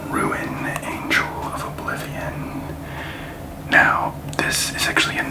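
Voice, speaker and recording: Whispering in a relaxed tone, the speaker goes at a very slow pace with long, frequent pauses over noticeable background noise. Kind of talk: ASMR card-opening video talking to the camera. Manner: quiet, relaxed, soft-spoken.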